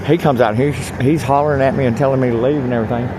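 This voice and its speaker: Amid noticeable background noise, a medium-pitched man speaks at a very fast pace. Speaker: homeless video blogger. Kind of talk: casual vlog monologue. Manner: loud; animated.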